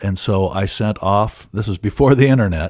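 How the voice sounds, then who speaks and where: The speaker has an American accent and ordinary pitch variation in a very clean recording with a silent background. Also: man. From Iowa, US Midwest. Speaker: documentary filmmaker and historian. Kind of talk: interview. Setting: studio.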